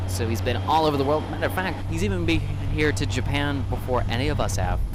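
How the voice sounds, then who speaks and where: A man's very deep, low voice at a very fast pace, with lively intonation and very even loudness, amid audible room echo and noticeable background noise. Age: young. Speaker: airport live streamer and plane spotter. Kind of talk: live commentary.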